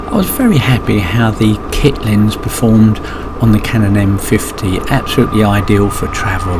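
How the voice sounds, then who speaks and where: A man speaks at a moderate pace while background music plays. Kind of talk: casual commentary.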